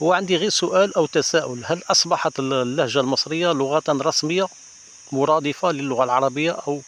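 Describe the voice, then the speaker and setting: Against noticeable background noise, a man with a fairly high voice speaks at a moderate pace. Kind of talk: casual talk to camera.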